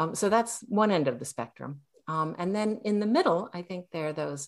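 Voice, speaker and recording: A woman's lively intonation at a moderate pace against a quiet background. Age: 60s. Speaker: novelist and Zen priest. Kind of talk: dharma talk. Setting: video call. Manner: hesitant, many fillers.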